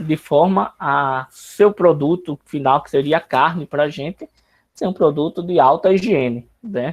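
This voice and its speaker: Recorded with a dry, close sound with no echo over a quiet background, a man has an ordinary speaking voice at a fairly high pitch, with ordinary pitch variation and big swings in loudness. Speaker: university lecturer. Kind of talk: online lecture.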